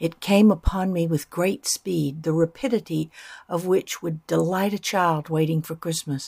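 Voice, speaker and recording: On a very clean, dry and close recording with a silent background and no echo, a woman speaks at a moderate pace and fairly low pitch, somewhat breathy, with ordinary pitch variation. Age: 70s. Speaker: devotional podcast host. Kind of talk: reflective scripted narration.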